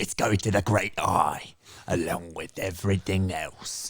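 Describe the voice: A man's gruff, put-on character voice at a very deep, low pitch and a moderate pace.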